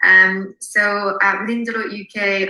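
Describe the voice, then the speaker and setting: Noticeable noise runs through the background. The speaker is a woman. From France. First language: French. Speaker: marketing consultant. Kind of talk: webinar presentation.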